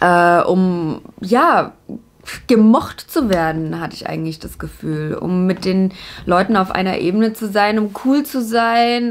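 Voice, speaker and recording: At a fairly slow pace, a woman of medium pitch speaks with lively intonation. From Germany, Upper Franconia (Bavaria). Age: 20s. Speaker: YouTuber, TV presenter. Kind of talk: casual to-camera introduction vlog. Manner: animated.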